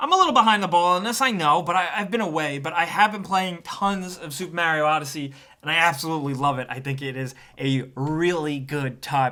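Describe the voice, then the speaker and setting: A man with a New York accent speaks in an animated, bright and sharp tone, his voice pitched high with ordinary pitch variation. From New York tri-state area. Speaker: gaming video reviewer. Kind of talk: casual video review monologue.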